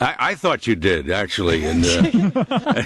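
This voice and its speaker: Against noticeable background noise, a man with an American accent swings his pitch very widely. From Connecticut, USA. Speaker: voiceover actor, announcer. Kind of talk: radio interview answer. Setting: home studio. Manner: relaxed, joking.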